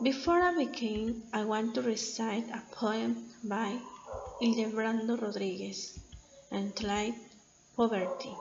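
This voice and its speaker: Speaking with a Mexican accent at a fairly high pitch, a woman goes at a fairly slow pace with ordinary pitch variation and long, frequent pauses, in a room with audible echo and noticeable background noise. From Mexico, Oaxaca. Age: 20s. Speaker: college student. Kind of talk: class presentation.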